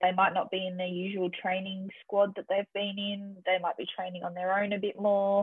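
Speaking in an Australian accent, a woman uses a monotone, flat intonation at a medium pitch and a moderate pace. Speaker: triathlete and coach. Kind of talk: interview. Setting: remote call.

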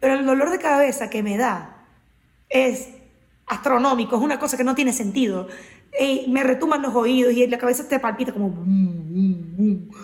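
Against noticeable background noise, a woman with a high pitch talks at a moderate pace, her pitch varying in an ordinary way. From Venezuela, Maracaibo. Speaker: podcast co-host. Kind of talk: casual chat.

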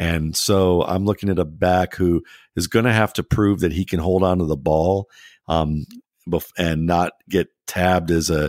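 A man's very deep, low voice holds a very even loudness at a moderate pace. The recording is very clean, dry and close, with a silent background and no echo. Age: 40s. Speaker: football draft analyst. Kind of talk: casual chat. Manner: halting.

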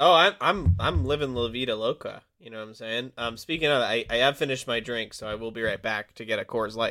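With an ordinary speaking voice, a man at medium pitch speaks with hardly any pauses, big swings in loudness, and ordinary pitch variation. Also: fairly quick pace. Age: 20s. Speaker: podcast co-host. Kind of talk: casual chat.

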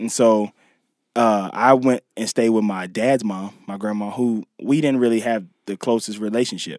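A man with a plain, everyday voice speaks at medium pitch and a moderate pace, with fairly even intonation. The recording is very clean and silent in the background, with a dry, close sound and no echo. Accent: American. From US South, Mississippi. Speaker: actor and comedy writer. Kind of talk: casual chat. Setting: studio.

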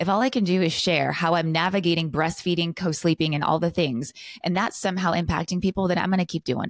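A woman with a West Coast US accent talks at a very fast pace in a fairly low pitch, with ordinary pitch variation. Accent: General American (West Coast). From California. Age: 30s. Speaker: lifestyle and business coach. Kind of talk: interview, casual conversation.

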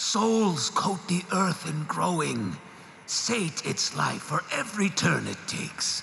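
A put-on character voice at middle pitch goes at a fairly slow pace. Clear echo and clear background noise surround it. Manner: cold, detached, solemn.

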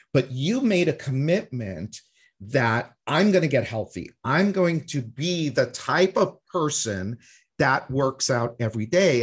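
On a very clean recording with a silent background, a man's fairly high, somewhat breathy voice carries lively intonation. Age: 50s. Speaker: podcast host. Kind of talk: podcast interview.

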